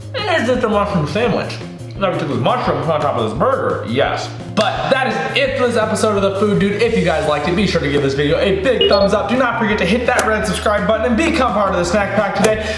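A man speaks at a very fast pace over background music, with audible room echo. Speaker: food vlogger. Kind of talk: casual food review vlog. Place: kitchen.

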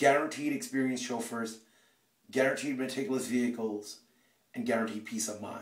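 Against a quiet background with audible room echo, a man speaks with ordinary pitch variation. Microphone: phone near.

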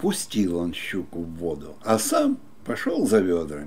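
The pace is very slow. A man is the one talking. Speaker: storyteller. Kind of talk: fairy tale reading. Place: home room.

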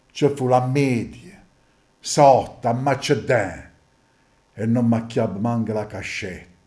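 Speaking at a very slow pace with long, frequent pauses, a man with a medium pitch and a dark, mellow tone keeps a fairly even intonation on a very clean recording with a silent background. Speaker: stage actor. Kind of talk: dialect poetry reading.

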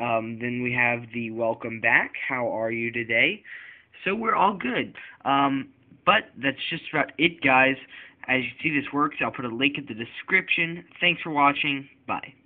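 Against a quiet background, a man with a medium pitch speaks fairly slowly, using ordinary pitch variation. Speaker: tech YouTuber. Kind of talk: software tutorial. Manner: casual, hesitant with many fillers. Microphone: recorded on cell phone; phone near.

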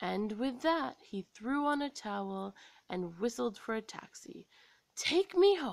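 Over a quiet background and with a dry sound with no echo, a woman with an American accent speaks at a fairly slow pace in a fairly high pitch, using very wide pitch swings. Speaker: story reader. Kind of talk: children's story read-aloud. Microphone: phone near.

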